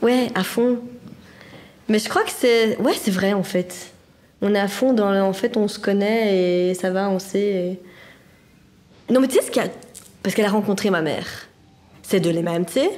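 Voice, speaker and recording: A woman with a strong Brussels accent talks at a moderate pace and a medium pitch. Her speech has long, frequent pauses over noticeable background noise. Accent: strong Brussels (Anderlecht). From Belgium, Brussels (Anderlecht). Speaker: social welfare office employee. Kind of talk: casual chat. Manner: animated.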